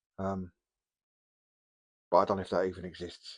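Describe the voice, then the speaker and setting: A man speaks with an English accent. The background is quiet. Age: 60s. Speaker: hobby youtuber. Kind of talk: casual vlog. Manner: hesitant, many ums.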